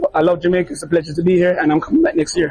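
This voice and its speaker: A man's high-pitched voice, with normal variation in pitch, comes through noticeable noise in the background. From United Kingdom. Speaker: DJ and visa agent. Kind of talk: interview. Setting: festival media room.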